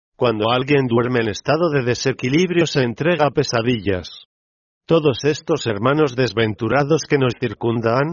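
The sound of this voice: An unforced reading voice, its pitch varying in an ordinary way, sounds against a quiet background.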